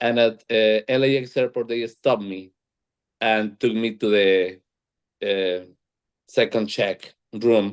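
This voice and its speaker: Speaking at a very slow pace with long, frequent pauses, a man with a strong Colombian accent keeps his intonation fairly even. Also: medium pitch for a man. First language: Spanish. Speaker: panel moderator. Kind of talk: panel discussion. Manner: halting, repeats words.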